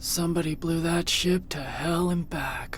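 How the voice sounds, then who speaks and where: A woman performs in a put-on character voice at a moderate pace. Clear background noise can be heard. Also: fairly low pitch for a woman. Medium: video game. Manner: sarcastic, curt.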